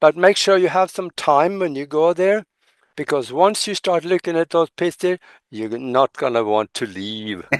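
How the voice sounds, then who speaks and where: A fairly high-pitched male voice with very wide pitch swings at a moderate pace, dry and close with no echo, over a quiet background. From Norway. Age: 80s+. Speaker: ufo researcher. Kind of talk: podcast interview.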